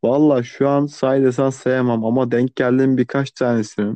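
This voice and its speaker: Flat, monotone intonation marks this man's medium-pitched voice as he talks at a moderate pace. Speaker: podcast co-host. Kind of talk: casual chat. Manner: sleepy-sounding.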